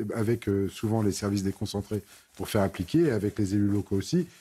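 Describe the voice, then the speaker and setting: Somewhat breathy and dark, mellow in tone, a man talks at a fairly quick pace and fairly low pitch. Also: very clean recording, silent background. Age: 60s. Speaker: member of parliament. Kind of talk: TV panel debate.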